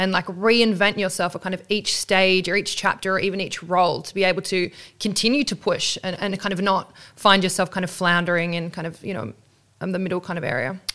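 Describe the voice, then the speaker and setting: A normal speaking voice moves at a fairly quick pace with fairly even intonation, in a very clean recording with a silent background. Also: woman, medium pitch for a woman. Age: 30s. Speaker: podcast host. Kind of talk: interview.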